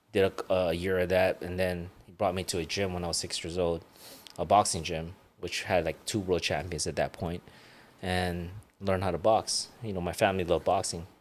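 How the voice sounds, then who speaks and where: A fairly quick, monotone, flat delivery from a man with a very deep, low voice and a Hawaiian accent. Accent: Hawaiian American English. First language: Ilocano. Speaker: retired world champion boxer. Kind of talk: casual interview chat.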